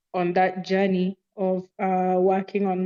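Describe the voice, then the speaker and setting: Her pace very slow, a woman speaks at a medium pitch. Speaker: podcast participant. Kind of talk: personal sharing. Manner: halting.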